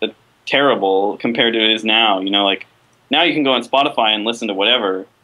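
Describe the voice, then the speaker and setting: A man is talking. His pace is very fast. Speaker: video game composer; podcast guest. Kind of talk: interview. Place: home room. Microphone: video call.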